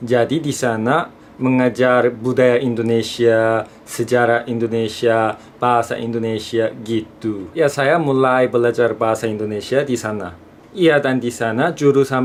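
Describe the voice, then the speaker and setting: A man speaks with a Korean accent at a medium pitch, moderate pace and fairly even intonation. Noticeable background noise runs behind him. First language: Korean (speaking Indonesian). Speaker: student vlogger. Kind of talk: vlog talk to camera.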